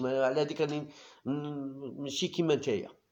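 In an animated tone, a man speaks very fast at a fairly high pitch. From Algeria. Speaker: YouTube football commentator. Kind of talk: casual monologue. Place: home room. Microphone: phone near.

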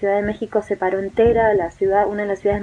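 Light background noise sits behind a woman speaking at a medium pitch in a monotone, flat way. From Argentina, Misiones province. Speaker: expatriate eyewitness. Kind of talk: eyewitness testimony. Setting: recorded video message. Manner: hesitant, many fillers and repetitions. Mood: shaken, earnest. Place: home room. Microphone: phone near.

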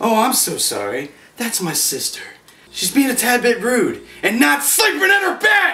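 With very wide pitch swings, a man uses a raised, projected voice at an extremely high pitch and a moderate pace. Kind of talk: comic horror acting. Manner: mock-hospitable, sinister.

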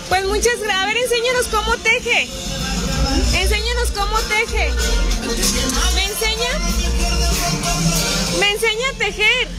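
A woman at a fairly slow pace, dry sound with no echo, loud music in the background. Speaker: community program host. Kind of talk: casual talk to camera, community interview host. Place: street. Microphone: phone near.

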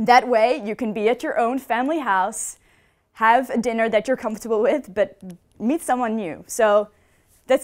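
A woman's fairly high voice at a moderate pace, with ordinary pitch variation over a quiet background. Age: 20s. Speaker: student talk speaker; speaker. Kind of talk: talk on stage. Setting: stage with audience. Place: hall. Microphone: headset.

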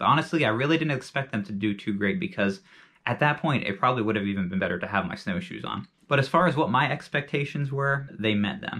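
A man's fast, lively speech, fairly low in pitch with a bright, sharp tone

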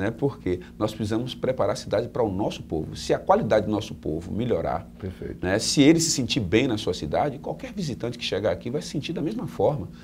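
A man speaks at a fairly quick pace with vocal fry and a dark, mellow tone. His pitch swings very widely, over light background noise. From Salvador, Bahia, Brazil; Bahia, Brazil. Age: 40s. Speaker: mayoral candidate; candidate. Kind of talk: interview; interview answer. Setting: on a bus. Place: studio.

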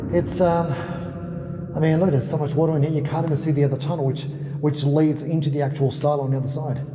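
A man at a very fast pace amid light background noise and audible room echo. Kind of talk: casual vlog chat. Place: tunnel cave.

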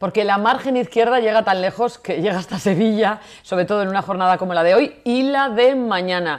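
Against a quiet background, a woman at medium pitch with ordinary variation talks at a fairly quick pace with hardly any pauses. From Portugalete, Basque Country. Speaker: TV presenter. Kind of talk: live TV show. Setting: studio. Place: studio.

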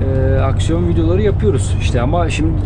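A man is speaking. Loud background noise runs behind him. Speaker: truck driver vlogger. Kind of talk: casual vlog chat. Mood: relaxed, amused. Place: car.

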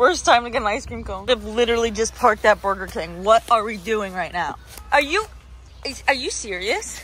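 Talking at a fairly quick pace, a woman swings widely in loudness over faint background music, and the sound is dry with no echo. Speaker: vlogger. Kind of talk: casual vlog chat. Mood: joking, mildly exasperated. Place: open country. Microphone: phone near.

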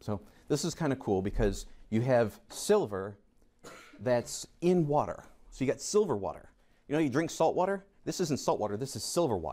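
Speaking with an American accent at a moderate pace, a man has a fairly high pitch, a dark, mellow tone and very wide pitch swings. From US, Rochester, New York; New York. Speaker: chemistry teacher. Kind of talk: lecture. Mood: playful, jokey. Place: classroom.

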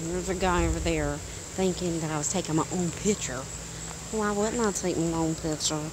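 Over noticeable background noise, a woman speaks in a dry sound with no echo. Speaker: vlogger. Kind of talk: casual vlog chat. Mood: playful, animated, expressive. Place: open country. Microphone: phone near.

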